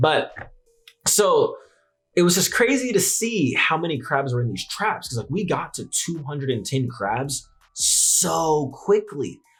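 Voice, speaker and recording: With music in the background, a man in an American accent speaks at a fairly slow pace in a fairly high pitch, his animated tone carrying very wide pitch swings. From US West Coast, San Francisco Bay Area. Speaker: YouTuber, investing channel host. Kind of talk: casual vlog narration. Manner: halting, stuttering; casual, animated.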